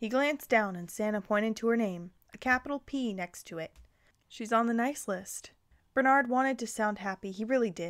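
This is reading aloud in a natural voice, with ordinary pitch variation.

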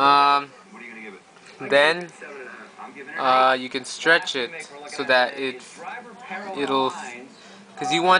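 A man speaks at a very slow pace with a fairly high pitch and ordinary pitch variation. Noticeable background noise runs behind him. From Canada. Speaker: YouTuber; tutorial maker. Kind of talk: tutorial. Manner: halting. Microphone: phone near.

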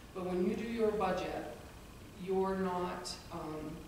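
Over noticeable background noise and strong room echo, a woman speaks with fairly even intonation. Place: hall. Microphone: podium.

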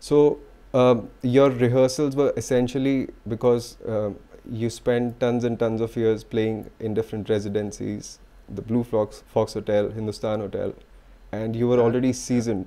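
A man's dark, mellow tone at a moderate pace, in monotone, flat intonation. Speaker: podcast host. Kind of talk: interview question. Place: home room. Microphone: studio mic.

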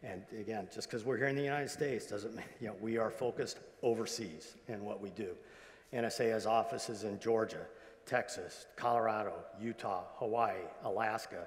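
At a moderate pace, a man speaks at a medium pitch with fairly even intonation. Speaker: retired intelligence agency executive; guest. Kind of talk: convocation speech. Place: hall. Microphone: lapel.

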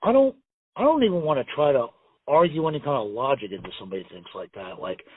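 Speaking fast at a medium pitch, a man has a slightly husky edge and lively intonation.

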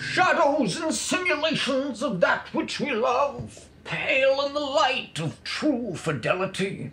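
At a fairly slow pace, a man performs in a put-on character voice. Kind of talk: archaic fantasy speech. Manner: solemn, grandiose.

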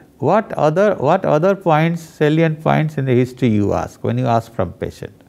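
A man's fairly high-pitched voice with a dark, mellow tone, lively intonation and a moderate pace. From India. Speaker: professor of medicine. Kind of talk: case discussion teaching. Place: studio. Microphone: lapel.

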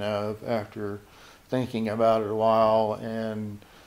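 This is a man talking. His pitch sits in the medium range. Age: 60s. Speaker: dating show contestant. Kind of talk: interview answer. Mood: reflective, complaining about scams. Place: office. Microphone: handheld.

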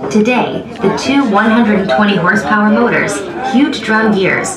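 Noticeable background noise behind a woman talking. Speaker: recorded tour narrator. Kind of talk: tour narration. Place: train. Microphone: pa.

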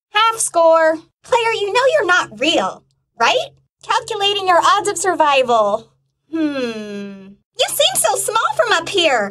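A woman's cartoonish character voice, extremely high in pitch, swinging very widely at a fairly slow pace. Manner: upbeat.

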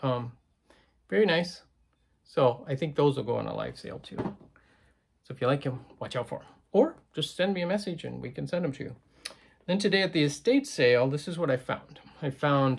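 With vocal fry and lively intonation, a man speaks at a fairly quick pace, his loudness rising and falling sharply. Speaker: reseller. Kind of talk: casual haul vlog chat. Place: home room. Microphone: phone near.

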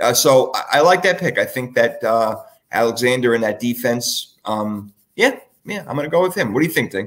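With lively intonation, a man talks at a fairly quick pace and a medium pitch. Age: 40s. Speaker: podcast host. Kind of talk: casual chat. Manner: animated.

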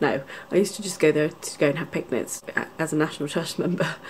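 Light background noise sits under a woman talking at a fairly quick pace in a very deep, low pitch. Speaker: family vlogger. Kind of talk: casual vlog chat. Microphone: phone near.

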